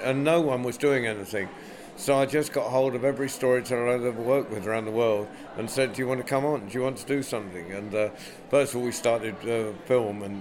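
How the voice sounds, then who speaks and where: Noticeable background noise sits behind a man with an English accent. He talks at a fairly quick pace with ordinary pitch variation. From England. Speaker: storyteller and festival director. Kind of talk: interview.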